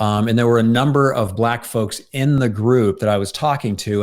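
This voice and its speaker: Speaking at a fairly quick pace, a man uses a medium pitch with ordinary variation on a very clean recording with a silent background. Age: 60s. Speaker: workshop trainer and interviewer. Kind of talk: casual chat. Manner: halting.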